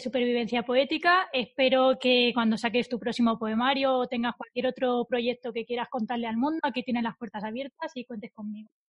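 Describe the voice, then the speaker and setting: At a fairly quick pace, a woman speaks in a high pitch with fairly even intonation. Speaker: podcast host and poet. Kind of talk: scripted intro and interview chat.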